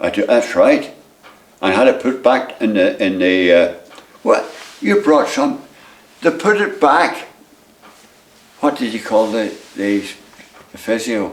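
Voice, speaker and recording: With a Northern Irish accent, a man talks at a fairly slow pace with long, frequent pauses against noticeable background noise. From Northern Ireland. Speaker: retired footballer, goalkeeper. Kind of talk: interview answer. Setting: at home.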